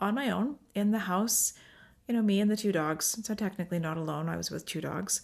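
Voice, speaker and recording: Recorded very cleanly with a silent background, a woman with a plain, everyday voice and a medium pitch uses lively intonation at a moderate pace. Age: 40s. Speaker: podcast co-host. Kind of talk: solo podcast monologue.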